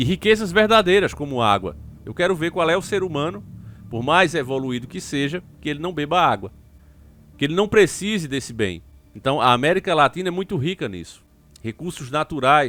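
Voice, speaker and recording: Animated and bright, a man with a northeastern Brazilian accent talks in a sharp tone at a fairly high pitch. His pitch swings very widely, with vocal fry throughout. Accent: drawling northeastern Brazilian. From Northeast Brazil. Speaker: YouTube political commentator. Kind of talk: political commentary monologue.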